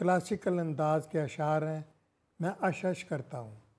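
Speaking very slowly, a man uses a fairly high pitch. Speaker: literary critic and writer; interviewee. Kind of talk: interview. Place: home room.

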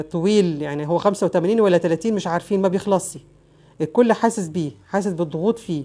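A woman's voice with an Egyptian accent, a dark, mellow tone, medium pitch and ordinary pitch variation. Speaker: lawyer and news commentary vlogger. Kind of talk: casual news commentary monologue.

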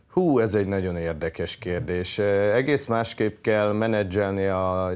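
A man speaks with a fairly low pitch. His intonation is fairly even and his pace moderate. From Hungary. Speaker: national volleyball team head coach. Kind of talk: TV sports interview. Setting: TV studio. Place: studio. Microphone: lapel.

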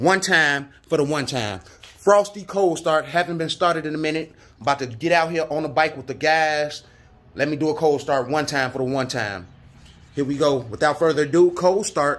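A man speaks at a moderate pace, his pitch varying in an ordinary way. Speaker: motorbike vlogger. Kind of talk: casual vlog chat. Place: garage. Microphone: phone near.

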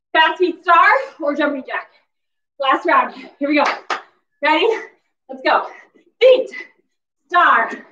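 A woman's raised, projected voice, bright and sharp in tone, carries lively intonation and big swings in loudness at a fairly slow pace, with audible room echo and light background noise. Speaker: fitness instructor. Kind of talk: workout instruction cues. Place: home room. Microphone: camera far.

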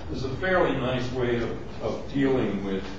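A man is speaking in a room with strong echo. Noticeable background noise runs underneath. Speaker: university lecturer. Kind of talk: lecture. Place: classroom. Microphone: camera far.

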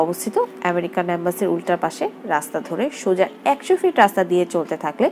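A woman's voice with music in the background. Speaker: travel vlogger narrator. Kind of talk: travel vlog narration.

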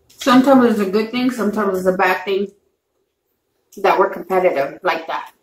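The speaker has an American accent and ordinary pitch variation, with light background noise and audible room echo. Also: woman, fairly quick pace. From Texas, San Antonio; Texas. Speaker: mukbang YouTuber; mukbang vlogger. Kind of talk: casual chat. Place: home room. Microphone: camera far.

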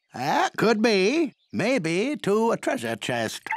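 At a slow pace, a man performs a put-on character voice pitched high, with very wide pitch swings.

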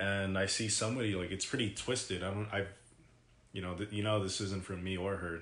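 The voice is monotone with flat intonation, and room echo is audible. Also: man. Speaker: vlogger. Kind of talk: casual vlog chat, personal story. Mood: serious, reflective. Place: home room. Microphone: phone near.

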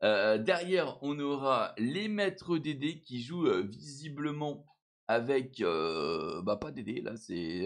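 A man speaks with very wide pitch swings. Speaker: gaming YouTuber. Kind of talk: gaming commentary. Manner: hesitant with many fillers.

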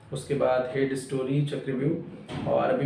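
A man amid light background noise, with audible room echo. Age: 30s. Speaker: actor. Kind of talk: self-introduction. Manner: halting. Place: home room. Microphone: camera far.

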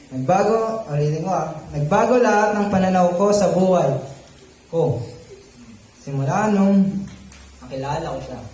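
Over noticeable background noise, a man with a high pitch speaks in an animated tone at a moderate pace, leaving long, frequent pauses. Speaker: youth preacher. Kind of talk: sermon. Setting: live audience. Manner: interactive, jokey.

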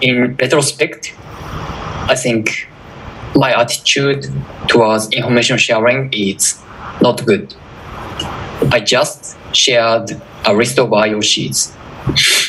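A man with a Japanese accent at a medium pitch, very slow pace with long, frequent pauses, fairly even intonation, very even loudness, and noticeable background noise. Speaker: security researcher. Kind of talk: conference talk.

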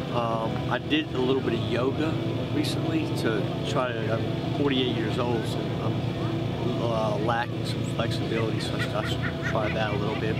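A man talks at a moderate pace while music runs in the background. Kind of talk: interview answer. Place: open country.

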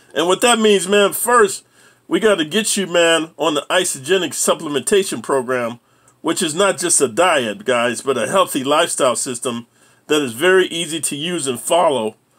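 The speaking moves at a moderate pace. Little sound comes from the surroundings. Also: man. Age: 60s. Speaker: YouTuber and ex-prisoner giving life advice. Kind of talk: casual vlog monologue. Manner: animated. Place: home room. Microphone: phone near.

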